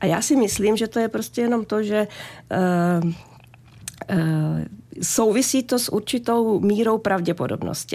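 A woman speaks in a normal speaking voice, fairly slow and fairly high-pitched, with ordinary pitch variation. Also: very even loudness. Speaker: physician. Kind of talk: radio advice interview. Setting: radio studio.

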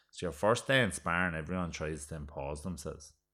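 A man with an Irish accent talks at a fairly quick pace in a very deep, low pitch with a bright, sharp tone. The recording is very clean, with a silent background. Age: 30s. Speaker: boxer and retired Gaelic footballer. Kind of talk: casual chat.

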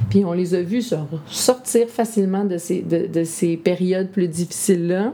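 Over noticeable background noise, a woman speaks fairly slowly at a medium pitch with ordinary pitch variation. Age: 30s. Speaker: entrepreneur and mother of five. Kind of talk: interview conversation. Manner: hesitant, many fillers.

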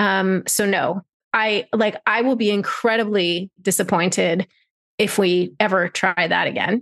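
A woman with an ordinary speaking voice talks at a fairly slow pace, her medium pitch and fairly even intonation set against a quiet background. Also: very even loudness, dry, close sound with no echo. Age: 40s. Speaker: freelance writer and mother. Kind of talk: interview.

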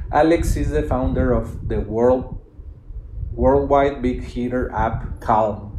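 Over noticeable background noise and audible room echo, a man with a Spanish accent speaks with long, frequent pauses. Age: 30s. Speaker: podcast host, digital entrepreneur. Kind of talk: reading aloud a written thread with commentary. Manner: halting, repeats words.

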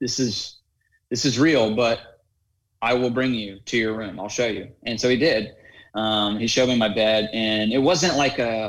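In a very clean recording with a silent background, a man with an American accent uses an ordinary speaking voice with ordinary pitch variation. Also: medium pitch for a man, moderate pace. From US South, North Carolina. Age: 20s. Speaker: adaptive athlete and fitness coach. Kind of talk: interview conversation.

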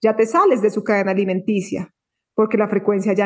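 The woman talks at a fairly quick pace and a fairly high pitch. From Colombia, Bogotá. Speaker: spiritual content creator. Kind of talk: casual interview.

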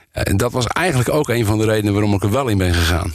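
A man's medium-pitched voice, with ordinary pitch variation, moves fairly quickly. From Noord-Holland, Volendam area. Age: 60s. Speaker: provincial politician, former police officer. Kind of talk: interview. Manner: hesitant, many filler sounds.

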